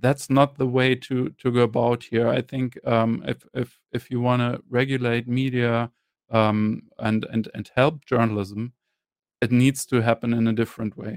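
A man speaks with a German accent in a medium-pitched, flat monotone. The sound is dry and close with no echo. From Germany. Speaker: journalist and media entrepreneur. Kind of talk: interview. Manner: halting, many fillers.

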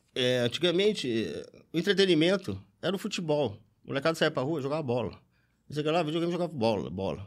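A man's fairly high voice with vocal fry, very fast and full of very wide pitch swings, long, frequent pauses, in a very clean recording with a silent background. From interior of São Paulo state, Brazil. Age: 40s. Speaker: football fan. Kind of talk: casual chat. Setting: studio.

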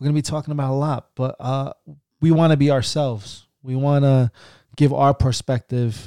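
A man speaks in a dark, mellow tone with fairly even intonation. The sound is dry and close, with no echo. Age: 30s. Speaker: podcast host, husband and father. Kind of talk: casual chat.

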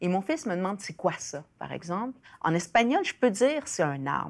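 This woman's medium-pitched voice swings very widely in pitch as she speaks at a moderate pace. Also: very clean recording, silent background. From Chile, raised in Quebec from age 7. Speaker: writer and sociologist. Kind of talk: interview. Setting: studio. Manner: halting.

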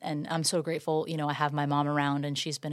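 A woman's very deep, low voice in a flat monotone, on a very clean recording with a silent background. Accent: American. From Florida, Tampa Bay area (Safety Harbor). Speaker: serial entrepreneur and real estate agent. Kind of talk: casual interview. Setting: studio.

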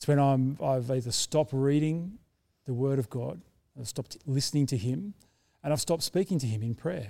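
The tone is dark and mellow. Pitch varies in an ordinary way, and the pace is moderate. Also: man, fairly high pitch for a man. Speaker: sermon preacher. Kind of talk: sermon.

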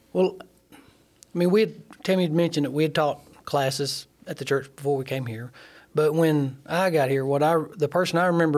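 The speaker uses an Alabama accent and a fairly quick pace, with ordinary pitch variation. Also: man. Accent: Southern US (Alabama). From US South, Alabama (Sheffield). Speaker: nuclear plant instrument mechanic. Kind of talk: testimony.

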